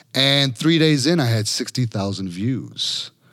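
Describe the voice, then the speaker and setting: A man speaks with an American accent and lively intonation. The recording is very clean, with a silent background. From Chicago. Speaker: personal injury lawyer. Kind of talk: podcast interview. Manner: animated.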